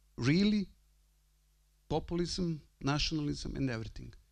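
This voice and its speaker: A man speaks in a Croatian accent. His pitch is high. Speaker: priest and university rector. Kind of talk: conference talk. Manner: halting.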